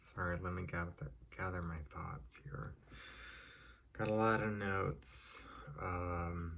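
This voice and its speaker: A soft-spoken man talks with very deep, low pitch and ordinary pitch variation. His pace is very slow, with long, frequent pauses. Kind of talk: casual movie review.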